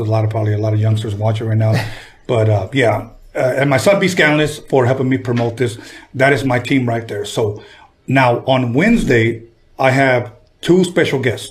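A man with a Spanish accent, medium pitch, a fairly quick pace, and a somewhat breathy voice. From Compton, Los Angeles area. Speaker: podcast host and music producer. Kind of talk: casual interview chat. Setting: studio.

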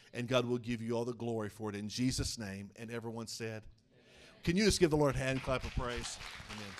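A man with an American accent at a medium pitch, fairly quick pace and ordinary pitch variation, with big swings in loudness and audible room echo. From eastern Oklahoma, small town. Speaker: denominational superintendent and preacher. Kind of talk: evangelical Pentecostal sermon, preacher in full flow. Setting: church with congregation. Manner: fervent rising-and-falling pulpit cadence, calling for amens; brisk, warm, conversational asides to the congregation.

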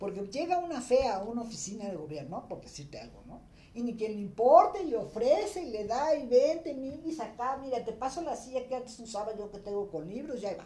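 A woman speaks at a moderate pace in a high voice with a dark, mellow tone. Her pitch swings very widely, and the room echo is audible. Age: 60s. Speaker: feminist activist. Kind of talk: casual chat.

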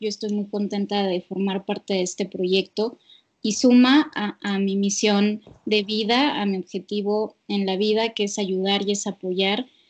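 A woman talks at a fairly slow pace with a Mexican accent. Her pitch is medium and her intonation fairly even. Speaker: psychologist. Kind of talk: casual chat. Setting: remote call.

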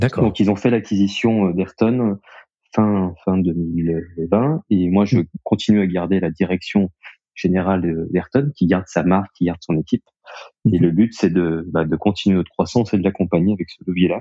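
This man's very deep, low voice moves at a moderate pace with ordinary pitch variation. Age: 30s. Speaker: co-founder of a connected-devices company. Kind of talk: interview. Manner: halting, with many fillers and repetitions.

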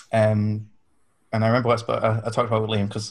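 Speaking at a very fast pace in a Yorkshire accent, a man talks with fairly low pitch and monotone, flat intonation. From Yorkshire, England. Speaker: podcast guest, fan convention attendee. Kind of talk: casual chat.

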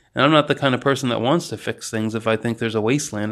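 There is vocal fry in this man's medium-pitched voice, which rises and falls in an ordinary way over a quiet background. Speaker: podcast host. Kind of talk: solo monologue. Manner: unscripted, off the cuff.

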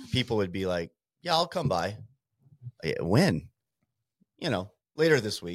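Pausing long and often, a man with an American accent talks at a moderate pace, his fairly low pitch swinging very widely. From Montana. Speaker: small business owner. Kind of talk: casual interview.

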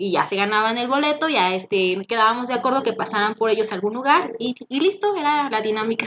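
A woman speaks very fast with a Mexican accent. Her fairly high voice has lively intonation. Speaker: former radio host. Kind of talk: casual chat. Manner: energetic.

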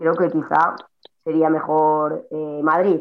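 A woman with music in the background. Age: 30s. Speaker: CrossFit athlete. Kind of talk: casual chat.

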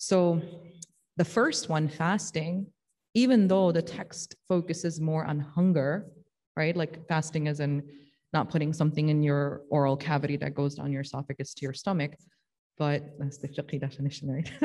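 A woman speaks at a moderate pace with a dark, mellow tone. Her pitch is very deep and low. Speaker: religious teacher. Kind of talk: religious study discussion.

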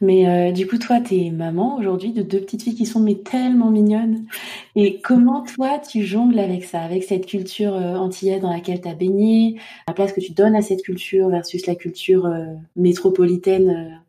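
This woman has a plain, everyday voice at a medium pitch. Her pace is moderate and her pitch variation ordinary. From Côte d'Ivoire and Île-de-France. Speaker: podcast host. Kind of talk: interview conversation.

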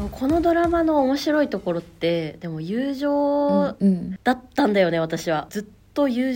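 The recording is very clean, with a silent background. A woman's high, dark, mellow voice moves through very wide pitch swings. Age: 30s. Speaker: podcast co-host. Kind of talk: casual chat.

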